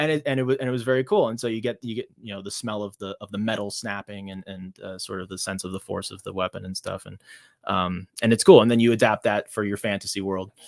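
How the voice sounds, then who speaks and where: A man with an American accent talks at a very fast pace with fairly even intonation and big swings in loudness, his voice dry and close with no echo on a very clean recording with a silent background. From United States. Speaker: author and illustrator. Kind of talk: casual interview. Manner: halting, many fillers and restarts.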